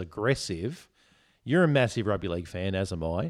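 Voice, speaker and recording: The speaker talks at a moderate pace in an Australian accent, with very wide pitch swings. The recording is very clean, the background silent. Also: man. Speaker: podcast host. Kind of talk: casual drunken chat.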